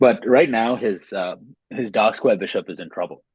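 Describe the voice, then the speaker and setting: A man is speaking. His voice is quiet. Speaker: chess game commentator. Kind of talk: live commentary.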